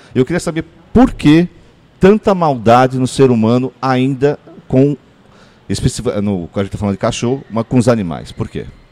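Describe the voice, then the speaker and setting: In a medium pitch, a man with a dark, mellow tone speaks at a moderate pace with lively intonation. Long, frequent pauses break up his speech in a dry, close sound with no echo. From São Paulo, Brazil (Ipiranga). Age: 40s. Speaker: podcast co-host. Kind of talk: casual chat.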